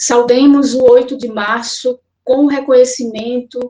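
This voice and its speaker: Her voice sits high in pitch. A woman with a dark, mellow tone. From Pernambuco, Brazil (Olinda). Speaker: social psychologist. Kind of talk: prepared statement. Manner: formal.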